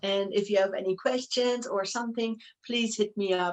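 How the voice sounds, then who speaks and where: In a German accent, a woman talks at a fairly slow pace and a medium pitch. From Germany. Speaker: professional wrestler and wrestling promoter. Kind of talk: interview.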